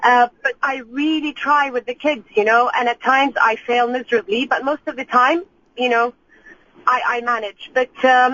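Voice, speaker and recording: A woman with an Arabic accent, high pitch and moderate pace. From Iraq, then UK. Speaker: caller, mother. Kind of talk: radio call-in conversation.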